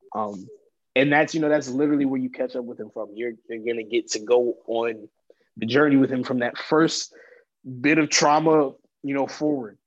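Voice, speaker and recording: A man with a normal speaking voice talks at a moderate pace in a medium pitch. His pitch varies in an ordinary way over a quiet background. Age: 20s. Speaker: actor. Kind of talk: interview.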